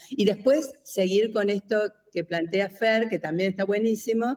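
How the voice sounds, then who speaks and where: Speaking at a fairly slow pace in an Argentine accent, a woman has a dark, mellow tone. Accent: Argentine (rioplatense). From Argentina. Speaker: design professor. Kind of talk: casual brainstorming panel.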